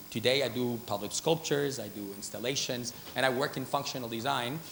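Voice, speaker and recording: With audible room echo around him, a man speaks very fast at medium pitch with ordinary pitch variation. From Spain, Madrid. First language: Spanish. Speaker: artist and designer. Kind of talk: conference talk. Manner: hesitant, many fillers.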